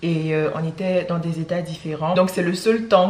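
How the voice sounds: A woman's low-pitched voice at a moderate pace, fairly even in intonation, with audible room echo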